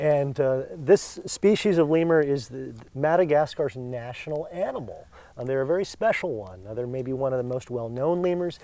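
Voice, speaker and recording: The speaker's dark, mellow voice moves at a moderate pace with lively intonation. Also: man. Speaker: lemur conservation staff guide. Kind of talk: guided tour interview. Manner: soft-spoken.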